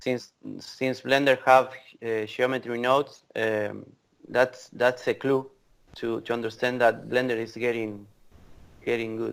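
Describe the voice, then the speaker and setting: At a fairly slow pace with long, frequent pauses, a man with an Argentine accent and a medium pitch speaks in a monotone, flat intonation. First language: Spanish. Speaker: VFX creative director. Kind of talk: casual interview chat. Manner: halting, repetitive.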